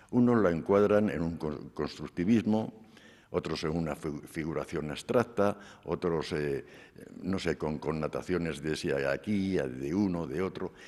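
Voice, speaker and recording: A man speaks with a very deep, low pitch and vocal fry. His pace is fairly slow, with ordinary pitch variation. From Spain, Cuenca province. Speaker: sculptor. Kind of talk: interview during museum tour. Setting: museum.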